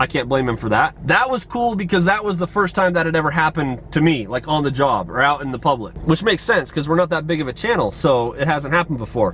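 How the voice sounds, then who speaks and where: A loud man talks at a very fast pace, his fairly high pitch making very wide swings. Noticeable background noise sits behind him. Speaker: police officer and family vlogger. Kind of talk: casual vlog narration.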